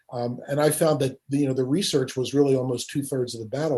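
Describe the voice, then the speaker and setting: Against a quiet background, a man speaks somewhat breathily at a fairly quick pace, his medium-pitched voice dark and mellow in tone. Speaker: podcast host; author. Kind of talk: podcast interview conversation.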